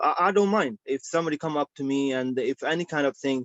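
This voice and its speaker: A man's fairly high voice, lively intonation, and a moderate pace. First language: not English. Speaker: licence applicant, pizza shop operator. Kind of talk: licensing hearing testimony. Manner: halting, many fillers and repetitions.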